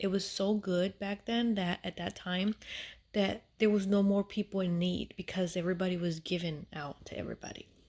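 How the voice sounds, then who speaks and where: A soft-spoken woman talks at a moderate pace in a flat, monotone delivery, captured in a very clean recording with a silent background. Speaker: Bible storyteller. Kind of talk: casual Bible retelling. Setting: at home, family asleep. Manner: soft-spoken, speaking low; halting, many fillers.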